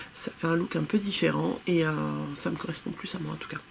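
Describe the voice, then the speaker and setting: Noticeable background noise runs under the audio. The woman speaking keeps a moderate pace. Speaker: knitting podcaster. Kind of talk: casual chat. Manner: hesitant, many fillers.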